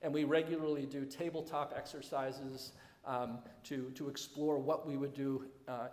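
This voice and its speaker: A man speaks at medium pitch with fairly even intonation. Background noise is noticeable. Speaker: head of school. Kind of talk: presentation to alumni. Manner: fast; halting, many fillers.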